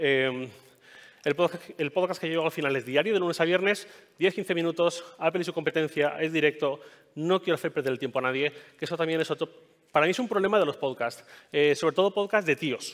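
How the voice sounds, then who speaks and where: Speaking at a fairly quick pace, a man with a fairly high pitch uses ordinary pitch variation. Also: quiet background. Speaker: podcaster and tech journalist giving a talk; podcaster, tech journalist giving a talk. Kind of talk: conference talk. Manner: fast; hesitant, many fillers. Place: stage.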